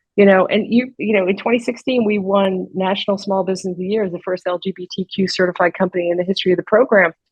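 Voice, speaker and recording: The speaker rushes along at a very fast pace with hardly any pauses, sounding somewhat breathy. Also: woman, medium pitch for a woman. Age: 60s. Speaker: coffee company co-founder. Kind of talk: interview. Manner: animated.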